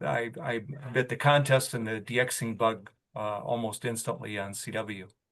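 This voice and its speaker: The voice has a bright, sharp tone. It moves at a fairly slow pace. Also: man. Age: 70s. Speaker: amateur radio operator. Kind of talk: club presentation. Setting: club meeting with audience. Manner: halting, many fillers.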